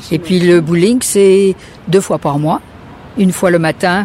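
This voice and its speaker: Noticeable background noise accompanies a woman speaking at a fairly low pitch. She talks at a fairly slow pace with ordinary pitch variation. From France. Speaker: retiree. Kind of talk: casual interview.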